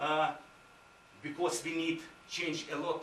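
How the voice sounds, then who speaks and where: Heard through audible room echo and noticeable background noise, the speaker talks with a Ukrainian accent and ordinary pitch variation. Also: man. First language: Ukrainian or Russian. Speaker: visiting university administrator. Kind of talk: conference presentation. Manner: halting, many fillers.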